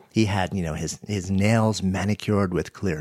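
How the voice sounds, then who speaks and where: This man's voice is very deep and low. He keeps a moderate pace with ordinary pitch variation. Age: 50s. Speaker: author and podcaster. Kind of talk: interview conversation.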